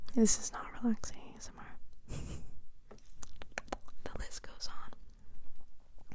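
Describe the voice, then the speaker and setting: A woman speaks. She is whispering. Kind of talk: ASMR whispered ramble with personal attention. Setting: studio, close microphone recording. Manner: whispered, soft-spoken, casual chatty.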